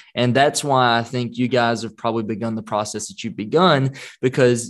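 A normal speaking voice from a man, medium in pitch and fairly quick, over a quiet background. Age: 30s. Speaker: podcast host. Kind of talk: casual interview.

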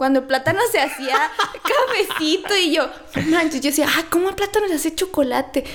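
Against noticeable background noise, a woman with an extremely high pitch talks at a fairly quick pace with lively intonation. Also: very even loudness. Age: 20s. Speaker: nutritionist. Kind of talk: casual interview.

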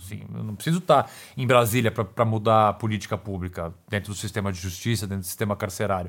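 Very fast speech comes from a man with a fairly low pitch and ordinary pitch variation. The recording is very clean, with a silent background. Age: 40s. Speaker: criminal defense lawyer. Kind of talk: interview conversation.

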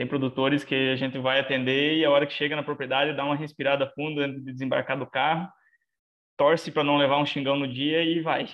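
Delivered in a monotone, flat intonation, the words come at a fairly quick pace. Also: man. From southwestern Paraná, Brazil. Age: 20s. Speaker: animal scientist. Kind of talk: casual interview.

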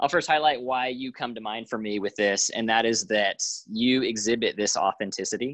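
A man at medium pitch and moderate pace against a quiet background. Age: 30s. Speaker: podcast host. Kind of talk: casual interview. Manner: animated.

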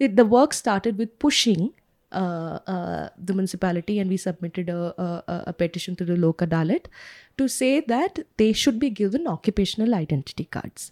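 In an Indian accent, a woman speaks at a medium pitch and a moderate pace, with lively intonation and a dark, mellow tone. The recording is very clean, with a silent background and a dry, close sound with no echo. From India, Kerala family, grew up outside Kerala. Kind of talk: casual interview. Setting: recorded outdoors next to a park.

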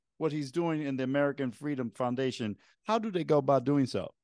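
Against a quiet background, a man uses an ordinary speaking voice, fairly high in pitch with ordinary pitch variation. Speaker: podcast co-host. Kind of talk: interview.

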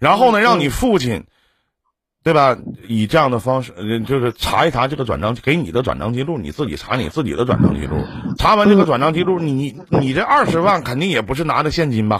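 At medium pitch, a man speaks at a fairly quick pace. His pitch swings very widely. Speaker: live-stream relationship advice host. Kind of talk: advice call-in conversation. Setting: live stream video call. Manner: lively, joking, direct.

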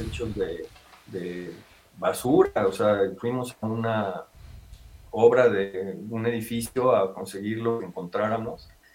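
Against noticeable background noise, a man at a medium pitch talks at a very slow pace. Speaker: paragliding instructor and business owner. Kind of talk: interview.

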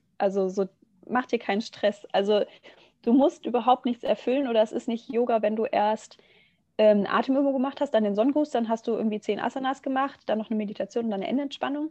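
A woman's dark, mellow tone at a very fast pace, with ordinary pitch variation and a dry, close sound with no echo. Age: 20s. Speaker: yoga teacher and nursery educator. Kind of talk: casual podcast interview.

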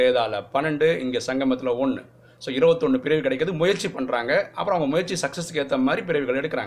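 A man speaks with lively intonation in a fairly high pitch. Noticeable background noise runs beneath him. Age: 40s. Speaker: spiritual teacher. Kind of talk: religious teaching talk. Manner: casual, conversational.

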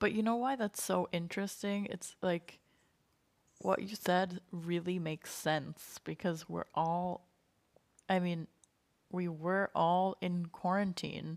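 In a dry, close sound with no echo, a woman with a fairly low pitch and an American accent speaks at a very slow pace with fairly even intonation. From United States. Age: 20s. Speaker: podcast co-host. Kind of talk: casual educational discussion.

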